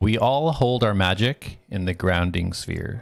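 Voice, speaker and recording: A man puts on a character voice, speaking at a fairly slow pace with a fairly low pitch. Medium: actual play.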